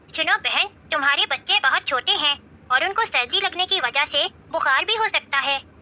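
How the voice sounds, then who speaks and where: A woman performs a put-on character voice. Her pitch is extremely high. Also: moderate pace. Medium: read story.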